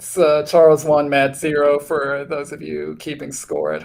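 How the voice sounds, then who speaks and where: The speaker is a man with an American accent. His pace is moderate. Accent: Wisconsin accent, slight, slips out. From Wisconsin. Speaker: Scrabble commentator. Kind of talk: live game commentary. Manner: hesitant, many fillers and repeats.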